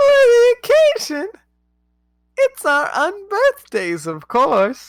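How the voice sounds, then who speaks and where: This is a put-on character voice with an extremely high pitch. It moves at a very slow pace. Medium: actual play. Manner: repetitive, insistent.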